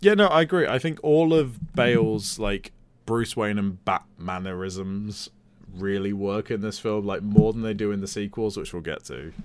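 On a very clean recording with a silent background, a man with an unremarkable speaking voice and fairly low pitch talks at a moderate pace, his loudness swinging widely. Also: lively intonation. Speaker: podcast co-host. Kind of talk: casual chat.

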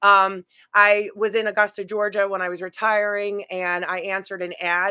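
In a dry, close sound with no echo, a woman with an ordinary speaking voice talks at a medium pitch with ordinary pitch variation. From New York City, Brooklyn. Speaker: paranormal investigator and psychic medium. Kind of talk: casual chat.

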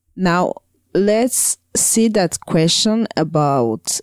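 A woman with a Burundian accent speaks very slowly in a fairly low voice with lively intonation, in a very clean, dry and close recording with a silent background and no echo. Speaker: podcast co-host. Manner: halting, hesitant with many fillers.

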